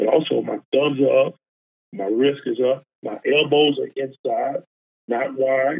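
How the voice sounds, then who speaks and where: A man talks in a Texan accent. His pace is fairly slow. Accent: Texan Southern US. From Texas, small town outside Houston. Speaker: college football defensive line coach. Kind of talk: casual interview chat. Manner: halting, many fillers.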